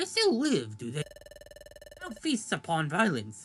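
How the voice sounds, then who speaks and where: At a fairly slow pace, a put-on character voice sits at a middle pitch. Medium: game stream. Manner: archaic, mock-Shakespearean phrasing.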